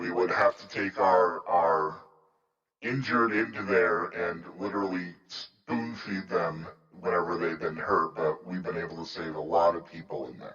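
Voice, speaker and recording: This man puts on a character voice with a very deep, low pitch. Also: moderate pace. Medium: actual play. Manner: chatty, informal.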